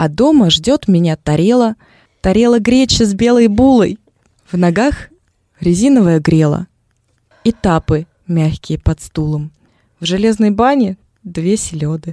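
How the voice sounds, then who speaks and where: With a dark, mellow tone and medium pitch, a woman speaks at a fairly slow pace with lively intonation and long, frequent pauses, the sound dry and close with no echo. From Moscow, Russia. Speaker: radio host. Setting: radio studio.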